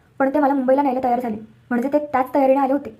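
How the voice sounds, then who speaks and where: A woman speaks in a high pitch with a dark, mellow tone and a monotone, flat intonation. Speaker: storyteller. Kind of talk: reading aloud.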